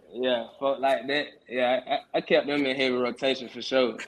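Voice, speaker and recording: A man speaks at a moderate pace. His medium-pitched voice has monotone, flat intonation. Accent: Atlanta. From Atlanta, Georgia (US South). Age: 20s. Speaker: rapper. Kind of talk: casual interview.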